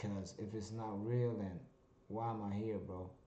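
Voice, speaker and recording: A man speaks with a dark, mellow tone at a fairly low pitch. Audible room echo surrounds his voice. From Germany. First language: German. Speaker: vlogger. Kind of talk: casual monologue vlog. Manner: halting, many fillers.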